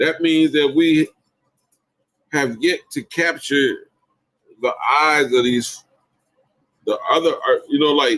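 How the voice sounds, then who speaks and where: A man with an American accent talks at a very slow pace. His long pauses come often. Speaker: hip hop channel host. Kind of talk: casual monologue. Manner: animated.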